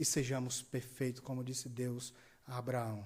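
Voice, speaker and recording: A man speaks at a moderate pace in a medium-pitched, somewhat breathy voice. Audible room echo surrounds him. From Brazil, Ceará (Juazeiro do Norte). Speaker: pastor. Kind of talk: sermon. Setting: church service, livestreamed.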